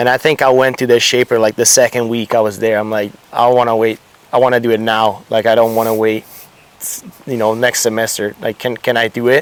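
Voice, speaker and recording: A man with a slight Italian accent, medium pitch and monotone, flat intonation at a fairly quick pace, dry and close with no echo. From Italy. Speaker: surfboard shaper. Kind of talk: casual interview.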